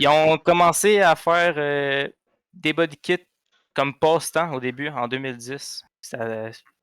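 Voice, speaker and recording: On a very clean recording with a silent background and a dry, close sound with no echo, a man with a Quebec accent speaks at a very slow pace, with a fairly high pitch and ordinary pitch variation. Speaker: car podcast co-host. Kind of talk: casual chat.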